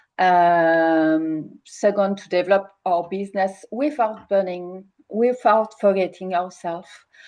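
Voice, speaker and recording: A woman with a strong French accent speaks at a very slow pace and medium pitch. Her tone is dark and mellow, with ordinary pitch variation. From France. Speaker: coach. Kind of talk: webinar hosting. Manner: halting.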